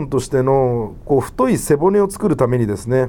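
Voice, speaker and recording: A man speaks at a moderate pace in a dark, mellow tone. His pitch swings very widely. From Japan, Wakayama. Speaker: podcast host. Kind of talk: solo podcast talk. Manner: many filler 'えー' hesitations; low-energy, trying to sound livelier.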